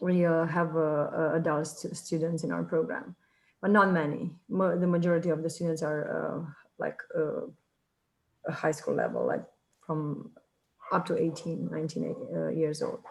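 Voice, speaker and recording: A woman speaks at a moderate pace in a Romanian accent. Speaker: high school teacher. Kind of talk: self-introduction in online meeting. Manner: halting, many fillers.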